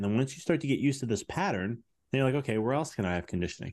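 Over a quiet background, a man with an American accent speaks at medium pitch with lively intonation. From US Midwest, Chicago. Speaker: business mindset coach and chiropractor. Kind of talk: podcast interview.

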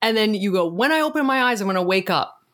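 A woman speaks in an ordinary speaking voice with lively intonation. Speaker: podcast co-host. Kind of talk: casual chat. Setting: studio.

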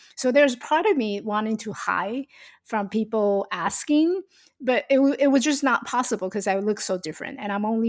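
A woman's fairly high pitch and lively intonation at a moderate pace, on a very clean recording with a silent background. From Taiwan. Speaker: life coach and speaker. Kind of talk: interview.

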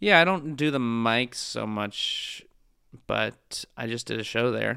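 Speaking very slowly with an American accent, a man at a medium pitch lets his pitch swing very widely. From US West Coast, San Francisco Bay Area. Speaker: stand-up comedian. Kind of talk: casual interview chat.

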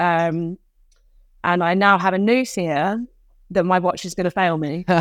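A woman speaks in a British accent at a moderate pace. Her pitch is fairly low, with ordinary variation. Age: 30s. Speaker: fitness coach and endurance athlete. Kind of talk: casual interview.

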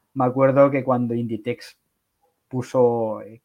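A man speaks with monotone, flat intonation. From Catalonia, Barcelona. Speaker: e-commerce entrepreneur. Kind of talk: interview.

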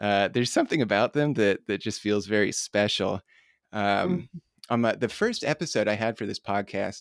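This man speaks at a moderate pace with a Midwestern American accent, his fairly low pitch showing ordinary variation. The sound is dry and close with no echo, on a very clean recording with a silent background. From US Midwest, northern Indiana. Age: 30s. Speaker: podcast host. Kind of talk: interview. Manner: halting.

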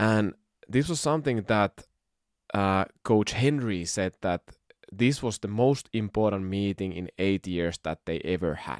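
Against a silent background in a very clean, dry and close recording with no echo, a man with a Finnish accent speaks fairly slowly at a fairly low pitch with lively intonation. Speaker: podcast host. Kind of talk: solo podcast talk. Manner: halting.

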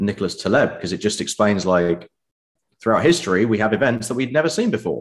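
With a British accent, a man talks at a fairly quick pace in a fairly low pitch with lively intonation. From UK. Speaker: crypto investor. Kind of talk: interview.

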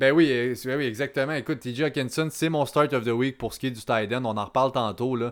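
A man with an ordinary speaking voice talks at medium pitch and a fairly quick pace, with hardly any pauses. The intonation is fairly even and the recording very clean, with a silent background. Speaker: fantasy football podcast host. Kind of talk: casual chat.

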